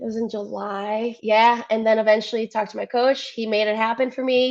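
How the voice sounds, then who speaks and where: In a slight Cleveland accent, a woman talks fairly quickly in a fairly high voice. Her intonation is monotone and flat. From US Midwest, Cleveland, Ohio. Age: 20s. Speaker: athlete. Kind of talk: interview.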